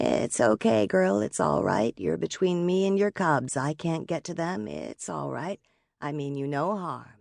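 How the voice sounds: In a put-on character voice with vocal fry, a woman speaks at low pitch with lively intonation, in a very clean recording with a silent background and a dry, close sound with no echo. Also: fairly slow pace, slightly mellow tone.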